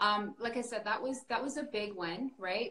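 A woman talks with ordinary pitch variation, and noticeable background noise is present. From northern England. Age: 30s. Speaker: life coach. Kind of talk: casual chat.

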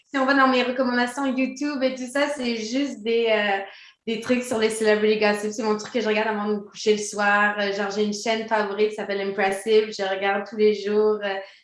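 With audible room echo around her, a woman speaks at a fairly high pitch and with fairly even intonation. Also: fairly quick pace. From Quebec. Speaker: DJ and former professional dancer. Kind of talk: interview.

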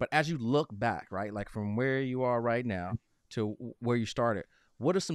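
A man's medium-pitched voice at a moderate pace with ordinary pitch variation, dry and close with no echo, against a quiet background. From South Side of Chicago. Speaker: podcast host. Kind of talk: podcast interview.

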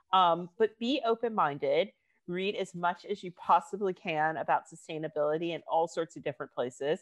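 A woman with an American accent and a normal speaking voice, fairly low in pitch, with ordinary pitch variation against a quiet background. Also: moderate pace, dry, close sound with no echo. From United States. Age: 30s. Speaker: fashion writer and activist. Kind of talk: panel discussion.

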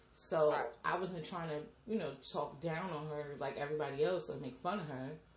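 Noticeable background noise beneath a woman's very deep, low voice. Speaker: podcast host. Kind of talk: casual chat. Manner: animated.

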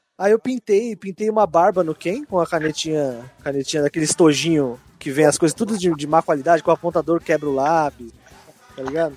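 Music plays behind a man with a fairly high pitch and ordinary pitch variation. He speaks at a fairly quick pace in a dry, close sound with no echo. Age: 20s. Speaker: podcast co-host. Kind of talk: casual chat.

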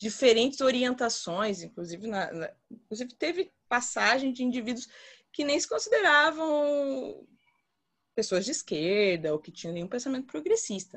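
A woman's voice swings very widely in pitch. Her loudness also rises and falls in big swings. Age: 30s. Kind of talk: group discussion. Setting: video call.

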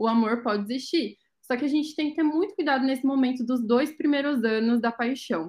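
Over a quiet background, a woman speaks at a fairly quick pace in a high pitch, with ordinary pitch variation and very even loudness. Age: 20s. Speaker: wedding blogger, psychology student. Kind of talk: casual chat.

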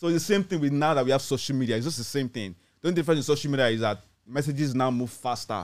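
On a very clean recording with a silent background, a man with a Nigerian accent speaks very fast at a medium pitch with ordinary pitch variation. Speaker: radio co-host. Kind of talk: casual chat. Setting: studio.

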